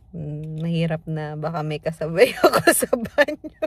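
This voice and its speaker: A woman speaks at a fairly slow pace. Her voice is fairly low and somewhat breathy. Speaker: family vlogger. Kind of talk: casual vlog. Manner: soft-spoken.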